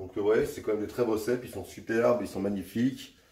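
His delivery is very fast. The man's voice carries audible echo from the room. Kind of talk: tutorial. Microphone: camera far.

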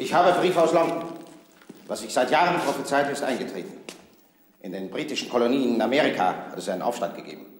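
A man talking at a very fast pace with big swings in loudness, audible room echo and light background noise. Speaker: actor playing a king. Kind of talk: scripted drama dialogue. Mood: firm, disdainful. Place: hall.

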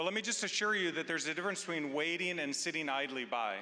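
With a quiet background, a man speaks in a bright, sharp tone. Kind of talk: church announcement address. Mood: warm, reassuring. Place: stage. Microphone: handheld.

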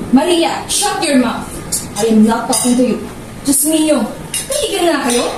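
A woman with a high pitch speaks at a fairly slow pace with lively intonation, amid noticeable background noise and audible room echo. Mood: playful scolding. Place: home room. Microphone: camera far.

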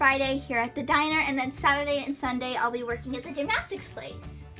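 With faint music in the background, a woman speaks in a raised, projected voice at a fairly quick pace, her pitch showing ordinary variation. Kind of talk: play-acted dialogue. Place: home room. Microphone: phone near.

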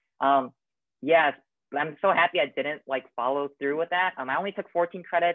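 In a quiet background with a dry sound and no echo, a man with an American accent speaks at a moderate pace with ordinary pitch variation. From Michigan, US (Troy); Michigan. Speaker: college student. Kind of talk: casual Q&A panel. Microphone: video call.

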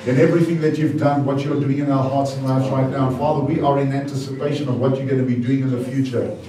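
Against noticeable background noise and audible room echo, a man talks very fast in a monotone, flat manner. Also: hardly any pauses. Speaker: pastor. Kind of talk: prayer then sermon. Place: church.

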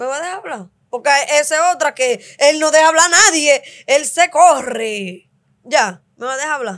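A woman speaks in a high voice with lively intonation and big swings in loudness. Long pauses break her speech often. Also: quiet background. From Dominican Republic, Cibao countryside; Dominican Republic. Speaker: host's wife; podcast guest. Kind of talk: casual chat with her husband. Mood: assertive, arguing with partner. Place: studio. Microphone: studio mic.

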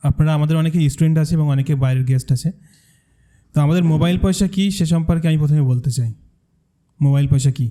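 A man with a fairly high pitch and a dark, mellow tone. He sounds somewhat breathy, and his intonation stays fairly even. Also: very even loudness. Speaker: content creator and course co-founder. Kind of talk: presentation to audience.

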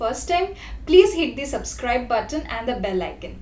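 High-pitched female voice with audible room echo. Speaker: food vlogger. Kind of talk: casual vlog chat. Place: home room. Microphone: phone near.

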